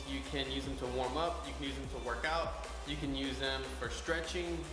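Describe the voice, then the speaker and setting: A man speaks with audible room echo and clear music in the background. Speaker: fitness vlogger. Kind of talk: tutorial. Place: gym. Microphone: camera far.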